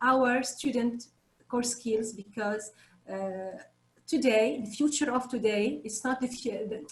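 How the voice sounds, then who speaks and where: A woman's fairly high voice at a fairly slow pace, with ordinary pitch variation and a non-native accent. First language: not English. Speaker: teacher. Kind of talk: panel discussion. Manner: halting; animated.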